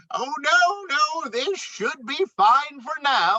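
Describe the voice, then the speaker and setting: A put-on character voice sits at a high pitch. It moves at a very slow pace. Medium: read story. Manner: polite, hesitant.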